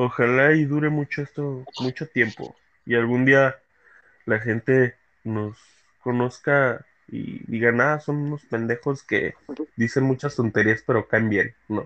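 This man talks at a fairly slow pace with fairly even intonation and a medium pitch. It is a normal speaking voice. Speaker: podcast host. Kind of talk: casual chat.

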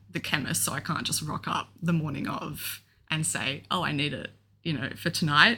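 Moderate pace and ordinary pitch variation, in an Australian accent. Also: woman. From Australia, Melbourne. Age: 20s. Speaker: young adult with epilepsy, podcast co-host. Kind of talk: casual chat.

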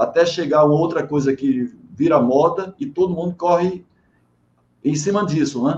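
Speaking at a moderate pace, a man with a fairly high pitch uses ordinary pitch variation in an unremarkable speaking voice. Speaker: live-stream host, management and quality. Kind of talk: online interview. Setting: video call live stream.

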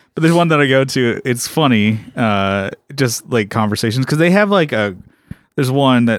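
A man speaks in an ordinary speaking voice at medium pitch. His pace is moderate and his intonation lively. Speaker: co-host, musician. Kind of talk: casual comedic banter. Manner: laid-back.

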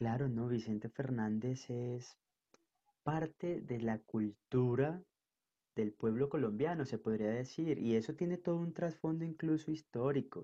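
A dark, mellow tone comes through at a fairly slow pace. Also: man, medium pitch for a man, ordinary pitch variation. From northern Colombia, Caribbean coast. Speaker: podcast guest. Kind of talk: casual interview chat. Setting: video call.

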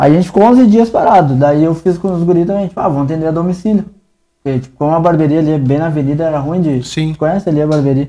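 A man's fairly high voice with a dark, mellow tone and ordinary pitch variation at a very fast pace. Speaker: barbershop owner. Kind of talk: casual chat. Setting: barbershop studio.

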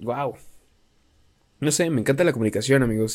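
On a very clean recording with a silent background, a man has a normal speaking voice, a medium pitch and ordinary pitch variation. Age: 20s. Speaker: podcaster and content creator. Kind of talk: casual monologue. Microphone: new mic propped up on pencils.

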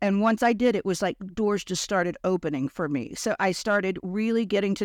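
This woman has an ordinary speaking voice at a moderate pace. The recording is very clean, with a silent background and a dry, close sound with no echo. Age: 50s. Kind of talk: interview.

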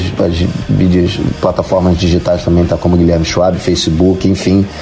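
Through noticeable background noise and audible room echo, a man speaks with a very deep, low pitch. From Rio de Janeiro, Brazil. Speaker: musician. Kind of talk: interview.

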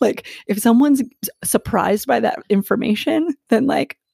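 With an American accent, a woman talks with lively intonation and vocal fry in a dry, close recording with no echo. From Philadelphia. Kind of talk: interview.

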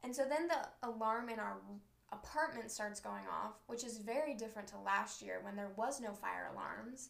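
With audible room echo, a woman in an American accent speaks at a moderate pace. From Southern California. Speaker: college student podcaster. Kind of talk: casual chat. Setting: bedroom, recorded on a laptop. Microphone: laptop mic.

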